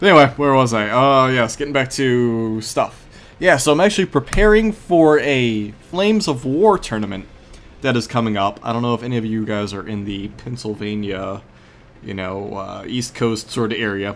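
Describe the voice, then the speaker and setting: Speaking with lively intonation, a man has an ordinary speaking voice at a medium pitch. He keeps a moderate pace. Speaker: gaming video host. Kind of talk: gameplay commentary. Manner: rambling casual.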